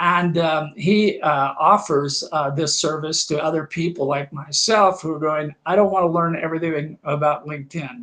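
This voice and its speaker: A man with a Kansas accent, a bright, sharp tone, fairly high pitch and fairly even intonation. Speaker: talk show host on funding. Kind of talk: live-streamed interview show. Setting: LinkedIn live stream. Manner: hesitant, many fillers and repeats.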